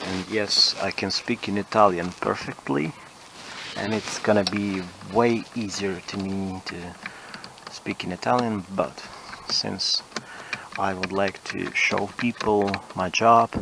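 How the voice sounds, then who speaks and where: At a very slow pace with long, frequent pauses, a man speaks in a fairly low pitch and fairly even intonation over noticeable background noise. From Ukraine. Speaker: car mechanic. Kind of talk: tutorial. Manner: halting.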